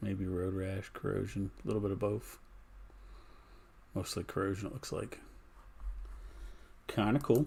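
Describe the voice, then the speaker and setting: A man speaks in a calm, dark, mellow tone, somewhat breathy and fairly low-pitched, with ordinary pitch variation. He keeps a moderate pace with long, frequent pauses. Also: very clean recording, silent background. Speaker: live streamer. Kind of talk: casual chat.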